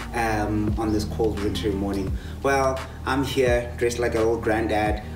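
A man at a fairly low pitch and a moderate pace, with clear music in the background. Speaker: fitness instructor. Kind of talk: workout tutorial. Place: garden. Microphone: camera far.

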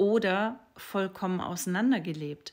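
Very slow speech from a woman. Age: 40s. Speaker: sex and relationship coach; relationship coach. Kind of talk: social media monologue. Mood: calm, thoughtful, expressive. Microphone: phone near.

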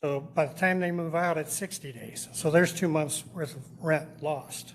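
A man's plain, everyday voice, fairly high-pitched, with fairly even intonation and a moderate pace. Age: 60s. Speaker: landlord, public commenter. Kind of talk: public comment at council meeting. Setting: city council meeting.

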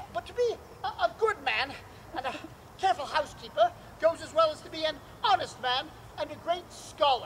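Someone uses a put-on character voice at a high pitch and a fairly quick pace, with long, frequent pauses. Clear background noise is present. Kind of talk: stage Shakespeare acting, comic. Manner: mock-solemn, playful.

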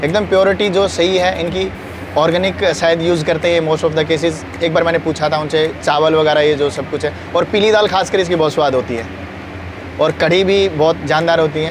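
Noticeable background noise accompanies a man talking at a moderate pace, the sound dry with no echo. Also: ordinary pitch variation. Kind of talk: interview answer. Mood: friendly, enthusiastic praise. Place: garden. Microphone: lapel.

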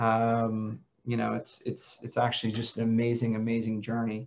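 At a moderate pace, a man is talking. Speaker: podcast host. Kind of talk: interview introduction. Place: office. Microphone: headset.

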